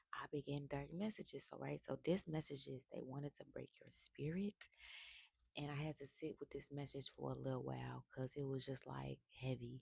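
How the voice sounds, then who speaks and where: Whispering at a moderate pace, a woman is heard in a dry, close sound with no echo. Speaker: tarot reader. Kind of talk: spiritual reading monologue. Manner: casual.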